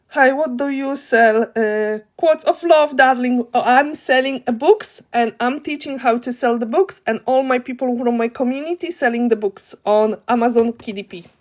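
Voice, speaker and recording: Speaking at a moderate pace with hardly any pauses, a woman with a Polish accent uses a high pitch and big swings in loudness. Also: ordinary pitch variation. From Poland. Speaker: online business teacher, live streamer. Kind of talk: live stream tutorial. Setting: live video stream. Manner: animated.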